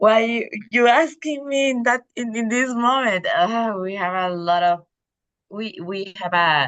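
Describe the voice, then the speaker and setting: With lively intonation, a woman speaks in a fairly high voice at a fairly slow pace. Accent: Spanish. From El Salvador. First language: Spanish. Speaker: club member. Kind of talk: impromptu speech. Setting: video call. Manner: halting.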